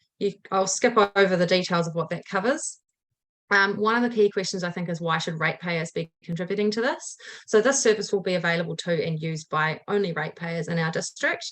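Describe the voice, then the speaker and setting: Speaking fairly quickly in a New Zealand accent, a woman uses a medium pitch with ordinary pitch variation. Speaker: community organisation chairperson. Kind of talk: council submission presentation. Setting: council meeting. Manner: fast.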